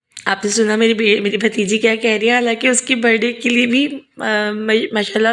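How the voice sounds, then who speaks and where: Noticeable background noise sits beneath moderately paced speech with fairly even intonation. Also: woman. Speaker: vlogger and school teacher. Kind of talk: vlog voice-over narration.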